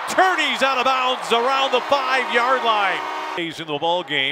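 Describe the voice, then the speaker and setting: A raised, projected voice moves at a moderate pace with very wide pitch swings, the sound dry with no echo amid noticeable background noise. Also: man. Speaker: play-by-play sports commentator. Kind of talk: live commentary. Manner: animated. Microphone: headset.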